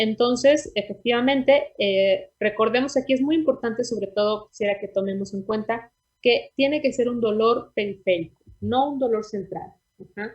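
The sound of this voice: A woman speaks at a fairly high pitch and a moderate pace. Her tone is slightly mellow, with a slightly husky edge. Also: ordinary pitch variation.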